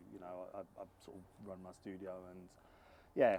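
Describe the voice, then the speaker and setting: A man talks with a London accent. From London, England. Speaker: singer-songwriter and producer. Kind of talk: interview. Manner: hesitant, many fillers and repeats.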